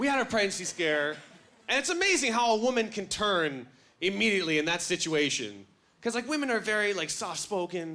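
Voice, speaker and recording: A man's raised, projected voice, high in pitch and bright and sharp in tone, with lively intonation at a fairly quick pace. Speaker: stand-up comedian. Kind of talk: stand-up comedy set. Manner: energetic.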